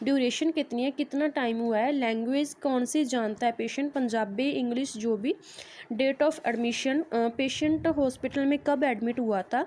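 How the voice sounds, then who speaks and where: Her voice high-pitched with a dark, mellow tone, a woman speaks with ordinary pitch variation, hardly any pauses and very even loudness. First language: Punjabi (speaking Hindi). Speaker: nursing teacher. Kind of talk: tutorial.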